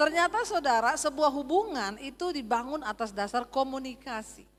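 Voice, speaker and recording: A woman with a Sulawesi accent talks at a moderate pace in a high voice. Her intonation is lively, and music plays in the background. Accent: Sulawesi Indonesian. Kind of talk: preaching, sermon-like.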